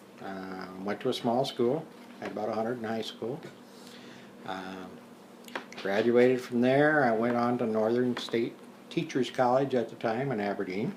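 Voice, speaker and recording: A man with an American accent at a moderate pace, ordinary pitch variation, long, frequent pauses, audible room echo and noticeable background noise. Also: medium pitch for a man. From South Dakota, US Midwest. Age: 60s. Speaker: retired teacher and war veteran. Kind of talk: interview. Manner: hesitant, many fillers.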